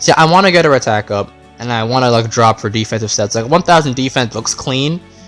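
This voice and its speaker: A man speaks at moderate speed with music playing underneath. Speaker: gaming YouTuber. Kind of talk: casual gameplay commentary.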